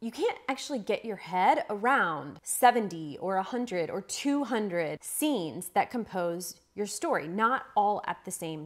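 Over a quiet background, a woman speaks at a very slow pace with very wide pitch swings. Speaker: writing coach. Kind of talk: tutorial. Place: home room.

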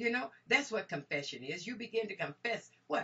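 The woman's voice sits at a fairly high pitch and swings very widely. Her tone is energetic. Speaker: minister, Bible teacher. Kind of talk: sermon, Bible teaching. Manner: energetic, exclamatory, preacher-like delivery. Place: home room. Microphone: webcam.

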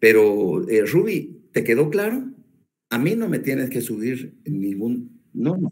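A man talks at a fairly slow pace. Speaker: law professor. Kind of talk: lecture. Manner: repetitive, stumbling restarts.

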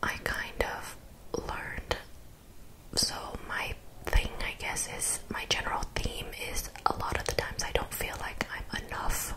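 A woman speaks at a fairly slow pace with long, frequent pauses over loud background noise. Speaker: vlogger. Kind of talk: casual vlog chat about therapy. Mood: reflective, candid. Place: home room. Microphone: studio mic.

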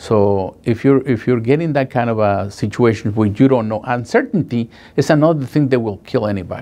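A man speaks at a medium pitch with a Spanish accent. His tone is dark and mellow, with ordinary pitch variation. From Guatemala. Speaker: paralegal. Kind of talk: testimonial. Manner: halting, emotional. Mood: earnest, recalling painful experience. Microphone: lapel.

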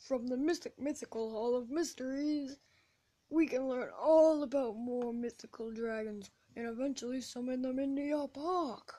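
A woman uses a put-on character voice with a high pitch. She keeps a moderate pace and fairly even intonation. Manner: corny.

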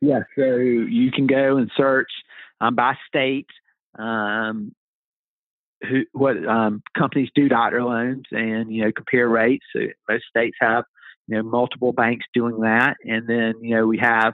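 A man talks at medium pitch and a fairly slow pace, his intonation flat and monotone. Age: 40s. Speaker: physician and real estate agent. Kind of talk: interview. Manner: frequent fillers and hesitations.

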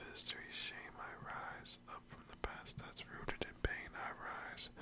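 The pace is fairly slow. A man delivers it in a whisper. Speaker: ASMR creator. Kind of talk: poetry reading. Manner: whispered, soft, up close. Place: home room. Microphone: studio mic.

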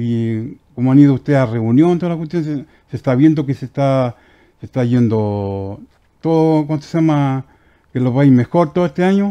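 With a quiet background, a man talks at a moderate pace in a fairly high pitch with a dark, mellow tone. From Chile, Aconcagua Valley (Curimón); Chile. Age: 50s. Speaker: woodworking craftsman; guest. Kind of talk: casual interview. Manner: halting. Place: studio. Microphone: headset.

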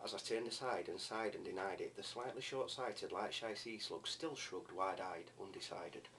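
Over light background noise, a man speaks at a fairly quick pace with hardly any pauses. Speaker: amateur poetry reader. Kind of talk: poetry reading. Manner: fast. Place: home room. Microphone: webcam.

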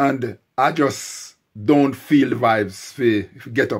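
A man at a very slow pace with ordinary pitch variation, over a quiet background. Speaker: vlogger. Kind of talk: casual vlog chat. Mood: unwell, describing a throat complaint. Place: home room. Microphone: phone near.

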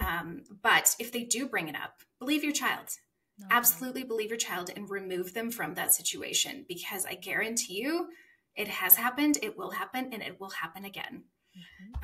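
Amid light background noise, a woman with a fairly high pitch talks at a fairly quick pace, with very wide pitch swings and big swings in loudness. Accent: Western Canadian. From Saskatchewan, Canada. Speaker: author; podcast guest. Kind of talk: personal testimony interview. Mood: earnest, emotional personal story. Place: home room.

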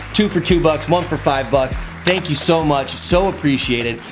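Music plays in the background as a man speaks. His pitch variation is ordinary. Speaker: vlogger. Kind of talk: casual vlog chat. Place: home room. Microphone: phone near.

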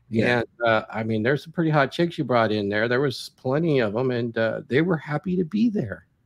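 A man speaks in an ordinary speaking voice at a medium pitch and a fairly quick pace. He leaves hardly any pauses, against a quiet background. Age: 60s. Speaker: video podcast host and lifestyle coach; video podcast host, lifestyle coach. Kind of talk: casual interview. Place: gym. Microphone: video call.

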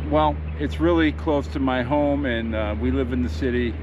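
A man keeps a moderate speed while noticeable background noise runs underneath. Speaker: fishing vlogger. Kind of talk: casual vlog chat. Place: boat. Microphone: phone near.

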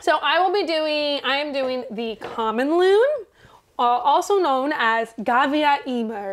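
A woman speaks at a high pitch. Her pace is fairly slow. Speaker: podcast co-host. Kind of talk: casual chat. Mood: relaxed, playful. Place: home room.

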